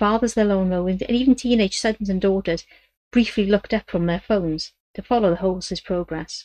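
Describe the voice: Over a quiet background, the voice does plain reading aloud with ordinary pitch variation.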